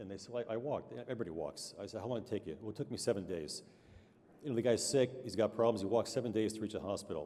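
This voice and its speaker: A man mumbling at a very fast pace, medium in pitch, with an American accent. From New York State (Amsterdam, NY). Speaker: doctor and award recipient. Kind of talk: award acceptance speech. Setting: awards dinner stage with audience. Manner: mumbling, halting with many fillers.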